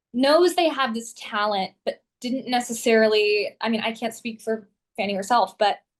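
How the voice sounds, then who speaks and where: Someone with an American accent and a normal speaking voice talks at a moderate pace. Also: woman. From Southern California. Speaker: actress, vocalist, voice actor. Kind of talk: interview answer.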